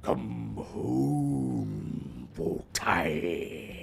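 Over clear background noise, a man puts on a character voice pitched very deep and low.

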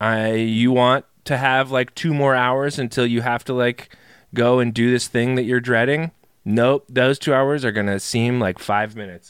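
Speaking in a normal speaking voice at a moderate pace, a man keeps a medium pitch and fairly even intonation on a very clean recording with a silent background. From North Carolina. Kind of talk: casual chat.

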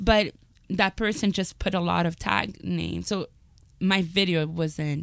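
A woman talks with vocal fry and a fairly low pitch. She goes at a fairly slow pace against a quiet background. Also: ordinary pitch variation. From Montreal, Quebec. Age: 30s. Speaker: comedian. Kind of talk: comedic storytelling.

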